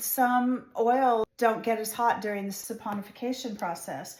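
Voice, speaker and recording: A woman with fairly high pitch and ordinary pitch variation at a fairly slow pace, over noticeable background noise. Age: 60s. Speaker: soap maker. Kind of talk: tutorial. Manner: casual, conversational.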